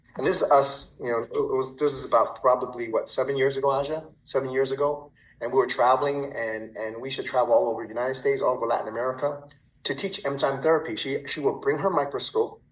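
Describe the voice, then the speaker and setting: A man speaks at a very fast pace. His voice is fairly high. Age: 60s. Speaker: supplement company founder. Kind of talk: sales presentation. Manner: halting, many repetitions.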